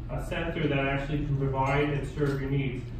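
Strong room echo and noticeable background noise surround a man's voice. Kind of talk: lecture. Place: hall. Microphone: camera far.

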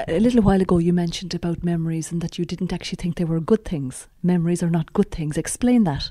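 A woman speaks at a very fast pace with hardly any pauses, her fairly low voice dark and mellow and somewhat breathy. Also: ordinary pitch variation. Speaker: radio presenter. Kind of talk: interview.

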